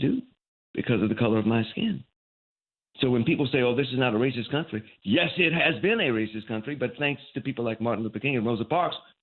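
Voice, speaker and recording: Someone with an American accent speaks at a very fast pace with ordinary pitch variation. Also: man. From US South, Baton Rouge, Louisiana. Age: 60s. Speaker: veteran TV news anchor. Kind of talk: interview, reminiscing.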